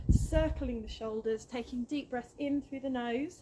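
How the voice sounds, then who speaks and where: A woman speaks with a British accent at a fairly slow pace, mumbling. Noticeable background noise is heard. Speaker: fitness instructor. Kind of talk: workout instruction. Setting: outdoors.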